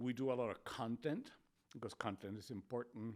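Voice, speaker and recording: A man with a Spanish accent, medium-pitched, at a moderate pace with ordinary pitch variation. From Spain. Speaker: public health official, doctor. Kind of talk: podcast interview.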